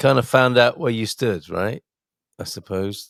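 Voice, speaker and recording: A man talks at a moderate pace in a normal speaking voice, medium in pitch with ordinary pitch variation. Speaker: podcast host. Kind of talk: podcast host talk.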